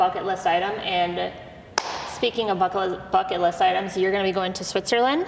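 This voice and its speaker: A woman at a medium pitch speaks at a moderate pace with fairly even intonation while noticeable background noise sits behind her. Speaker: podcast host. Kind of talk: casual interview chat.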